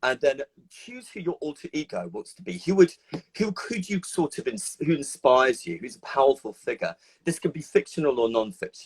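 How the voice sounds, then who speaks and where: A man talks at a fairly quick pace with a high pitch and big swings in loudness. The sound is dry and close, with no echo. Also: lively intonation. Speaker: psychotherapist. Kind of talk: casual chat. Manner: fast.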